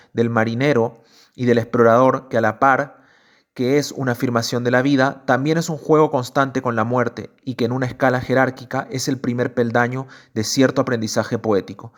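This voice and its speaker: At a moderate pace, a man of medium pitch speaks with monotone, flat intonation on a very clean recording with a silent background. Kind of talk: literary essay reading.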